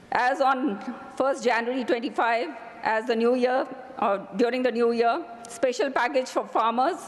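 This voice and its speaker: High in pitch, a woman's voice sits over noticeable background noise. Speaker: politician. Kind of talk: parliamentary speech. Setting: parliament chamber.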